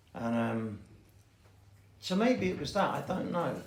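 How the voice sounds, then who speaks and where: There is audible room echo along with noticeable background noise. Through it, a man talks. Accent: London. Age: 60s. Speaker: recovering addict sharing at a meeting. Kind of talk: recovery share. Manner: halting.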